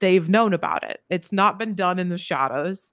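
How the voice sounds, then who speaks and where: A woman speaks in a dry recording with no echo over a quiet background. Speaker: podcast guest. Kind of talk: interview answer. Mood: critical, occasionally laughing. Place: home room. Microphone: studio mic.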